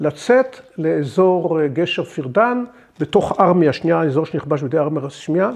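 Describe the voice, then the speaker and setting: A man with a high pitch talks over a quiet background. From Israel, Beit She'an Valley kibbutz; Israel. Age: 70s. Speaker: war veteran. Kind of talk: testimony; interview answer. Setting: at home. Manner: halting, with frequent repetitions. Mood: calm, reflective. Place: home room.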